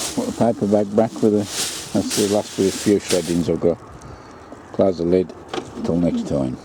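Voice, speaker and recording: Noticeable background noise sits behind a man with a fairly low pitch and ordinary pitch variation. He speaks at a moderate pace, leaving long, frequent pauses. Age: 60s. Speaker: allotment gardener. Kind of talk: casual video narration.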